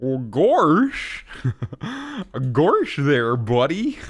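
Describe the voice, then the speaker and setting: A man's drawling put-on character voice, fairly high in pitch. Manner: goofy.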